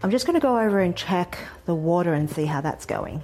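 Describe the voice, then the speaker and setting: A woman with an Australian accent speaks at a medium pitch and a moderate pace. Her tone is dark and mellow, with ordinary pitch variation. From Australia, Sydney. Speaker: food writer and cookbook author. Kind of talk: cooking tutorial. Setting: home kitchen. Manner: casual, friendly.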